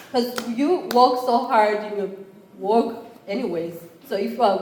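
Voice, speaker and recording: With a Rwandan accent, a woman speaks at a moderate pace amid noticeable background noise and audible room echo. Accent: East African (Rwandan). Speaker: college entrepreneurship program chair. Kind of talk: conference talk.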